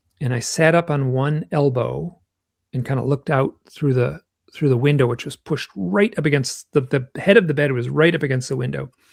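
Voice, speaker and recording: Somewhat breathy and fairly high in pitch, a man with an American accent speaks at a fairly quick pace with ordinary pitch variation. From US Midwest, Michigan. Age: 60s. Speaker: author and UFO researcher. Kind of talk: interview, personal storytelling. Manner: halting, many fillers and restarts.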